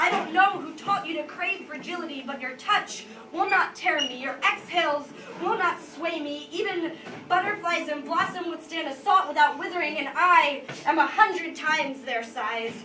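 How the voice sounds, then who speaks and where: Over noticeable background noise, a woman uses a raised, projected voice at an extremely high pitch, moving at a moderate pace with ordinary pitch variation and big swings in loudness. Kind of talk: live slam poetry performance. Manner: intense, emotional, expressive spoken-word delivery with some stutters.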